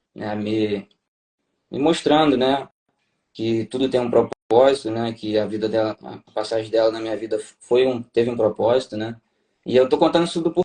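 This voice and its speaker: A man's voice has a dark, mellow tone with ordinary pitch variation. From Brazil, Rio de Janeiro. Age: 30s. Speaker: tax auditor, former navy officer. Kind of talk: interview testimony. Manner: halting, many fillers.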